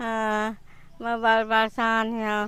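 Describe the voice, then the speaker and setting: The recording is very clean and the background silent. The voice belongs to a woman. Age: 80s+. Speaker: local resident. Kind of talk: interview. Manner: halting.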